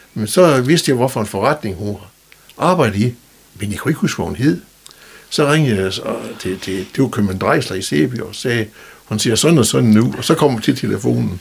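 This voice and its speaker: Noticeable background noise sits behind a man with a medium pitch. He talks at a fairly quick pace with very wide pitch swings. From Denmark, North Jutland (Skagen/Vendsyssel). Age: 70s. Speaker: retired telecom worker and local personality. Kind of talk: interview. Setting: studio. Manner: halting, with many fillers and repetitions.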